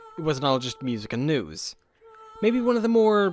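Music plays in the background as the voice moves through very wide pitch swings. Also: man. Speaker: video essayist. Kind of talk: history video narration. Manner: sardonic, humorous.

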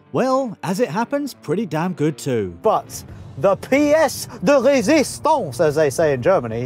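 Faint music plays behind a man, and the sound is dry with no echo. He talks at a fairly slow pace. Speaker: car reviewer. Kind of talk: car review commentary. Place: car.

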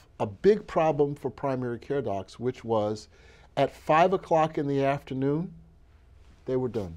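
A dark, mellow tone at a fairly slow pace, with lively intonation. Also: man. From Brooklyn, New York (Bed-Stuy); New York. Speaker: physician and health foundation leader; interview guest. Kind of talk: interview. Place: hall. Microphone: lapel.

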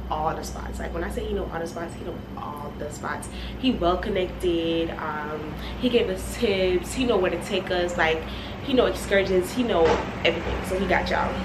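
Noticeable background noise runs through the clip. A woman speaks at a moderate pace. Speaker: travel vlogger. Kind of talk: casual vlog chat. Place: home room.

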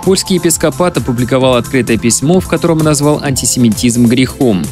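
With clear music in the background and a dry sound with no echo, a man talks at a fairly quick pace. His voice sits at medium pitch with lively intonation. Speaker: radio news announcer. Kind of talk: radio news reading. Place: studio. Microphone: studio mic.

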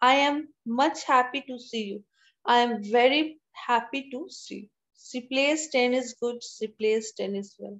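Against a quiet background, a woman with a high pitch talks fairly slowly, with ordinary pitch variation and big swings in loudness. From India. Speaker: college English teacher. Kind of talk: online lecture. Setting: video call. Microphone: video call.

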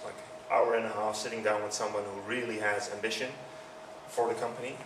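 A man with a Dutch accent talks over noticeable background noise. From Netherlands. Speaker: user experience consultant. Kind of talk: conference talk. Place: hall. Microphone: handheld.

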